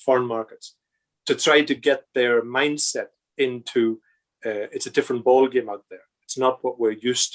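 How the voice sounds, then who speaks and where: With a Northern Irish accent, a man speaks at a moderate pace with big swings in loudness, the sound dry and close with no echo. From Northern Ireland. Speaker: project controls consultant and lecturer. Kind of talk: podcast interview. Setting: video call. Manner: halting, many repetitions and fillers.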